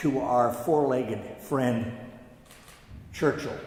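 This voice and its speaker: At a very slow pace, a man talks at medium pitch, with noticeable background noise and audible room echo. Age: 80s+. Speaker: Harvard alumnus and son of war casualty. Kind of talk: memorial speech. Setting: church.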